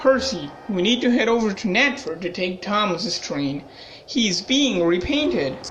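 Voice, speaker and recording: A put-on character voice sounds female, at a medium pitch for a woman. It moves at a moderate pace, with clear music in the background. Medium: audio drama.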